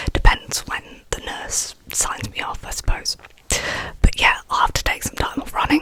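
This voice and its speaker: Noticeable background noise accompanies a woman who is whispering. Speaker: ASMR artist. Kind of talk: ASMR ramble. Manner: soft-spoken, whispered.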